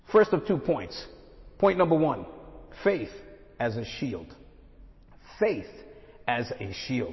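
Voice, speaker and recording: A man's fairly high voice with an American accent, very wide pitch swings, a very slow pace, long and frequent pauses, and audible room echo. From Brooklyn, New York. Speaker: guest preacher, missionary. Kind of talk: sermon.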